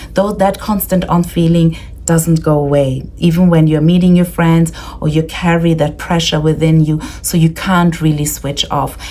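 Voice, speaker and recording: A woman talks at a moderate pace with fairly low pitch and very even loudness. Her intonation is monotone and flat, with noticeable background noise. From Austria. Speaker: leadership coach. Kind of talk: presentation.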